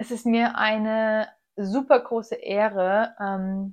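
This woman uses a normal speaking voice. Her fairly high pitch moves with fairly even intonation. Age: 20s. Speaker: nutrition coach and podcast host. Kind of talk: solo podcast monologue.

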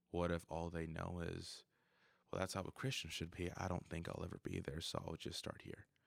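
A man speaks at a very deep, low pitch and a fairly quick pace. The recording is very clean, with a silent background. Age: 20s. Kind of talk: casual chat. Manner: animated, frequent laughter.

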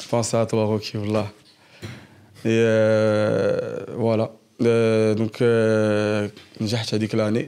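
A man speaks at a very slow pace and a medium pitch, with long, frequent pauses and a flat, monotone intonation. His loudness stays very even, and there is noticeable background noise. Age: 20s. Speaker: engineer and former prisoner sharing his story. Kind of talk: personal testimony in casual interview.

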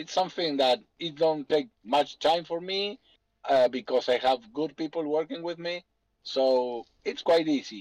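A man's fairly high-pitched voice with a Spanish accent, fairly slow and with ordinary pitch variation, captured dry and close with no echo. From Argentina. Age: 40s. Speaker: businessman. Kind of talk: Q&A on a group call.

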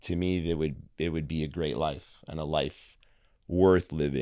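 Fairly even intonation and a fairly slow pace come through on a very clean recording with a silent background. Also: man. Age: 30s. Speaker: entrepreneur and martial arts studio owner. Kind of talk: casual interview.

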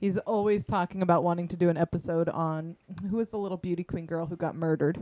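A woman's fairly low, dark, mellow voice at a very fast pace, fairly even in intonation, with a dry, close sound and no echo. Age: 40s. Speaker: podcast guest, host's sister. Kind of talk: casual chat.

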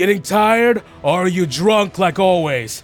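A man's put-on character voice, high in pitch, at a moderate pace with faint music in the background. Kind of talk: tabletop game master voicing a character. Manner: taunting.

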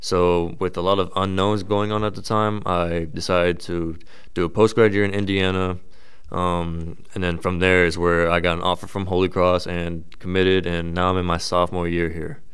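A man's very deep, low voice in an American accent, monotone and flat, at a moderate pace. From Texas. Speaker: college athlete and podcast host. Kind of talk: solo podcast monologue.

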